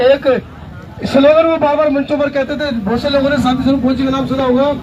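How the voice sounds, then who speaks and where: Over noticeable background noise, a man speaks loudly with an extremely high pitch. His intonation stays fairly even. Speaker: activist and media worker. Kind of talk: protest rally speech.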